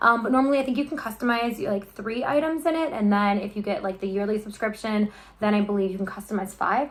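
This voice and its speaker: Talking at a fairly quick pace, a woman with a slight Midwestern accent uses a fairly high pitch and ordinary pitch variation. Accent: Midwest accent, slight. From US Midwest, Chicago. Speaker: YouTuber, unboxing vlogger. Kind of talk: casual unboxing vlog. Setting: home kitchen. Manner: chatty, filler-heavy ('um').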